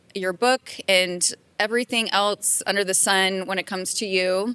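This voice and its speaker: Bright and sharp in tone, a woman speaks with an American accent. Her pace is moderate and her intonation fairly even. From Maryland, US East Coast. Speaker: podcast host. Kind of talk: interview.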